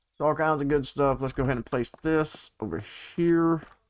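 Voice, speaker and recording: This man has a Texan accent. He talks at a moderate pace. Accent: Southeast Texas country. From Southeast Texas. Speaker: gaming YouTuber. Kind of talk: casual gameplay commentary.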